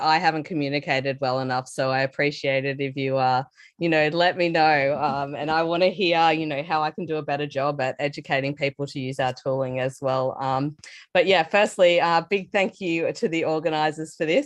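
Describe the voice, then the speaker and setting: Against a quiet background, a woman with an Australian accent and a very deep, low pitch talks at a fairly quick pace with fairly even intonation. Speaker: developer advocate. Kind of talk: technical talk. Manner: casual with many fillers.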